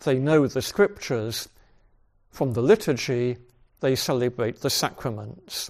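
The man's pace is very slow. His pitch sits in the medium range. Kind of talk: lecture. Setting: video call.

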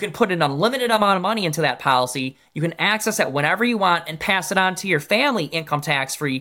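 A man with an American accent talks very fast in a high pitch with lively intonation. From Michigan. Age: 30s. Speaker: insurance agent. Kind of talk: interview.

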